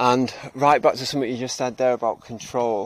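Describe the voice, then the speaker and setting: With a Cheshire accent, the speaker moves at a fairly quick pace. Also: man. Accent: northern English (Cheshire). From northern England (Cheshire). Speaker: podcast co-host. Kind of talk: casual chat. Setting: outdoors, on a walk.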